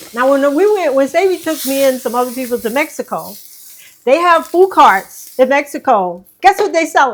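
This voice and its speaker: A woman with a New York accent, high pitch, very wide pitch swings, and a moderate pace. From New York City, Manhattan. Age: 70s. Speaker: herbalist, ex-wife of a healer. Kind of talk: casual chat. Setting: home kitchen.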